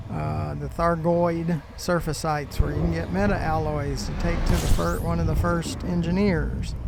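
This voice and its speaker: A man talks at a moderate pace with hardly any pauses. Room echo is audible, and there is noticeable background noise. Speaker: gaming YouTuber. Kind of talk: gameplay commentary. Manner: halting, many fillers.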